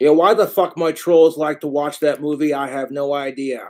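Speaking at a very slow pace, a man gets his words out. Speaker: livestreamer. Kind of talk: casual livestream rant. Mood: angry, ranting about trolls. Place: home room. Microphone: webcam.

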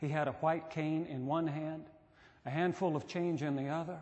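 This man speaks at a moderate pace with fairly even intonation. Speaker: pastor. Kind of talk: sermon. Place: church. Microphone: podium.

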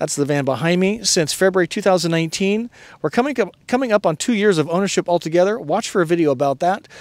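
A man's lively intonation at a fairly quick pace, in a dry sound with no echo. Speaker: RV vlog host. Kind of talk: casual vlog chat. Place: open country. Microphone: handheld.

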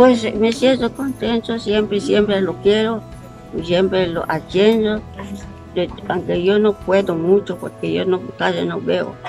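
A woman at a very slow pace over clear background music. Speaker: interviewed wife. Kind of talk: interview answer. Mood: warm, reflective. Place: garden. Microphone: phone near.

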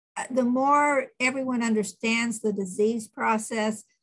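The woman's voice is somewhat breathy. Her pitch is fairly high. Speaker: nurse practitioner giving a talk. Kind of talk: lecture. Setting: online video meeting. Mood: warm, practical, earnest. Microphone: webcam.

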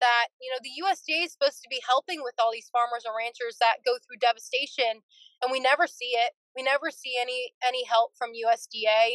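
A fairly quick American accent, fairly even in intonation, in a dry sound with no echo. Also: woman, high pitch for a woman, quiet background. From California, Fresno area; California. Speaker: dairy farmer; podcast guest. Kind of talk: interview. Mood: frustrated, earnest. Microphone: video call.

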